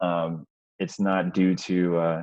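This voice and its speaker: This man's voice sits very deep and low. He talks in a monotone, flat way. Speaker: webinar host for a sales community. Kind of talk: online webinar presentation. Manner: quiet, holding back volume; hesitant, many fillers.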